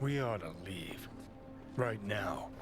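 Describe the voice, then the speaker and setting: A man uses a put-on character voice with a fairly low pitch. Loud noise fills the background. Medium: video game. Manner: sarcastic, blunt.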